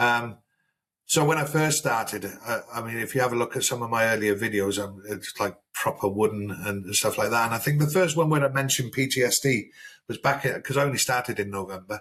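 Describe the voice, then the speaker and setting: A man with a South Wales accent speaks at a medium pitch. His pace is fairly quick, and his pitch variation is ordinary. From South Wales, Newport. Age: 50s. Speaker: army veteran. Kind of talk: casual chat.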